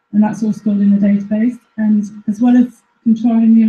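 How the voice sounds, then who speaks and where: Dark and mellow in tone, a woman's somewhat breathy voice sits at a fairly high pitch. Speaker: researcher at a plant phenotyping facility. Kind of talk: presentation. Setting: live-streamed talk to an audience. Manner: halting.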